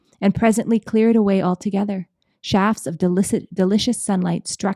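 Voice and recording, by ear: Reading aloud in a natural voice, with fairly even intonation and a quiet background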